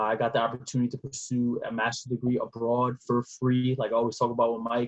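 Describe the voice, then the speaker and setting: A man talks at a fairly quick pace and a medium pitch. The sound is dry and close, with no echo. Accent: New York. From New York City (Bronx). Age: 20s. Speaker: nonprofit founder, former basketball player. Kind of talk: podcast interview.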